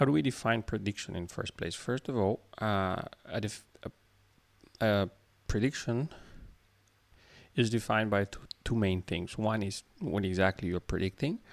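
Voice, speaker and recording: Heard dry and close with no echo, a man talks at a fairly low pitch with ordinary pitch variation and long, frequent pauses. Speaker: programmer making coding tutorials. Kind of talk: tutorial. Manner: slow; halting.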